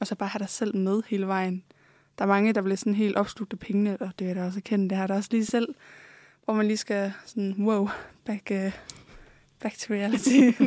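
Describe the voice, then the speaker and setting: A woman's medium-pitched, dark, mellow voice, monotone and flat, at a moderate pace with long, frequent pauses, dry and close with no echo, on a very clean recording with a silent background. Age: 20s. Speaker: OnlyFans creator. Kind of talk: interview. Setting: studio.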